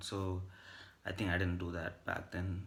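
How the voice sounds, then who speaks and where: A man speaks in a very deep, low voice. Audible room echo surrounds it. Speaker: vlogger. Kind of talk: casual monologue. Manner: hesitant with fillers.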